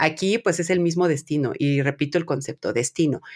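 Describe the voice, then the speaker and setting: On a very clean recording with a silent background, a woman talks at a fairly quick pace and a fairly low pitch. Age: 30s. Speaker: podcast host. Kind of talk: casual chat.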